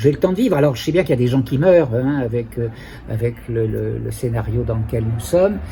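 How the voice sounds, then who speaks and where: Noticeable background noise surrounds a man who talks fairly quickly. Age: 70s. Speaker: psychotherapist. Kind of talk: interview testimony. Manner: halting.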